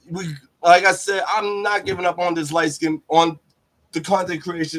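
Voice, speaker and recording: A man with an American accent, high in pitch, at a moderate pace. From Pittsburgh, Pennsylvania (US). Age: 30s. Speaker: YouTuber. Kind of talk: livestream rant. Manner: animated.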